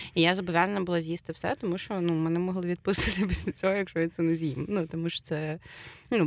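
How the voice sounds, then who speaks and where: A dry, close sound with no echo carries a woman's fairly low voice at a very fast pace, with ordinary pitch variation. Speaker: podcast co-host. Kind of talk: casual chat.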